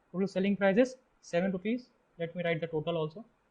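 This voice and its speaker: A man speaks at a high pitch with an Indian accent. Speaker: test-prep tutor. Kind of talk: tutorial.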